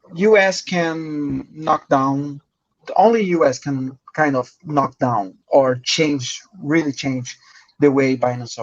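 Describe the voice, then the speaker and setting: In a Brazilian accent, a man speaks at a very slow pace with a fairly high pitch and ordinary pitch variation. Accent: Brazilian Portuguese accent, rusty English. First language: Portuguese. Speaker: crypto journalist. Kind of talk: podcast interview. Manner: halting.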